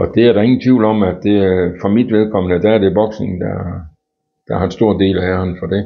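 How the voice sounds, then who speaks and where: A man speaks at a fairly low pitch. His intonation is flat and monotone. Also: moderate pace. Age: 70s. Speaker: boxing club chairman and coach. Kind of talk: interview. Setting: at home. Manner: halting.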